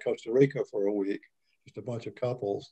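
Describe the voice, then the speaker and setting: Over a quiet background, a man talks at a moderate pace in a dark, mellow tone. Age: 70s. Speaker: retiree. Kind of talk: casual interview. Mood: relaxed, reflective. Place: home room. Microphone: video call.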